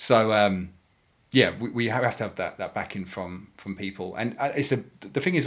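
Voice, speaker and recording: At a very fast pace, a man with a fairly low pitch speaks with ordinary pitch variation. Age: 30s. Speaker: board game designer. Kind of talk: casual chat. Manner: halting.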